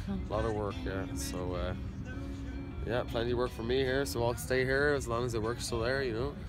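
A man with an Irish accent speaks in a dry sound with no echo, with clear music playing in the background. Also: moderate pace. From Dublin, Ireland. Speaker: carpenter. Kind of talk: interview answer. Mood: relaxed, friendly. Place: garden. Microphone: phone near.

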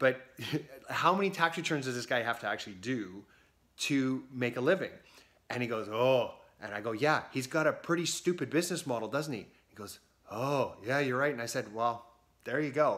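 This man's loudness swings widely while his pitch varies in an ordinary way. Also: moderate pace. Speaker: business coach for accountants. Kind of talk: casual vlog chat. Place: home room. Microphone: phone near.

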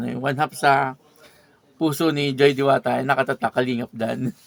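Dry, with no echo, a man speaks fairly quickly in a flat monotone marked by vocal fry. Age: old. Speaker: YouTube reaction vlogger. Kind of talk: video reaction commentary. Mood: chatty, gossipy. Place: home room.

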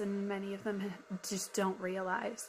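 With light background noise, a woman talks at a very slow pace and a medium pitch. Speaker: YouTube commentator. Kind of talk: reaction commentary, sermon-like. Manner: earnest, reflective. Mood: earnest, soft, heartfelt. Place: home room. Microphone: phone near.

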